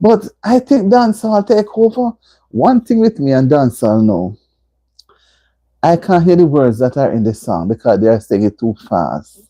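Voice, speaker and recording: Speaking with a Jamaican accent, a woman has a very deep, low pitch, very wide pitch swings and a dark, mellow tone. Her moderate pace comes through with a dry, close sound and no echo. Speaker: livestream host. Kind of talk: casual chat. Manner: animated; loud.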